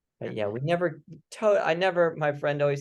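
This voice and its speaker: Against a quiet background, a man with a fairly high pitch and a slight Midwestern accent speaks at a moderate pace with ordinary pitch variation. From US Midwest, St. Louis, Missouri. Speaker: writer. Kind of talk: casual chat.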